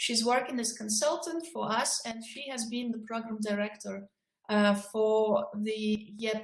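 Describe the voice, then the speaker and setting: With audible room echo, a somewhat breathy woman talks at a moderate pace, using a fairly high pitch and fairly even intonation. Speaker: project coordinator. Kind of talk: video conference moderation. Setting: video call. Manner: soft-spoken. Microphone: too quiet.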